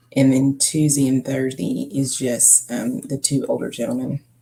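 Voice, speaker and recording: A woman with a very deep, low pitch mumbles, using ordinary pitch variation. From Kentucky. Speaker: live streamer and home health worker. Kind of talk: casual live stream chat. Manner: mumbling.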